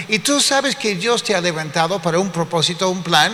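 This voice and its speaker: A man's raised, projected voice, high in pitch, over noticeable background noise. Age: 60s. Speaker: pastor. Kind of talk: sermon.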